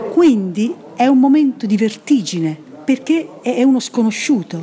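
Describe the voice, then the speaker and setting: Very wide pitch swings mark a woman's very slow speech, with noticeable background noise. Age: 60s. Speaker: stage actress. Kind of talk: interview.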